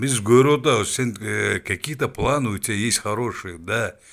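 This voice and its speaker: In a very clean recording with a silent background, a man with vocal fry speaks at a fairly slow pace with ordinary pitch variation. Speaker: political commentator. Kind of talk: political rant. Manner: animated; halting.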